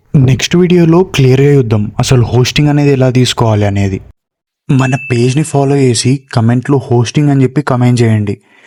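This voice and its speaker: This man's voice sits at a medium pitch with a dark, mellow tone, ordinary pitch variation and very even loudness. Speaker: tech tutorial creator. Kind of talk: tutorial.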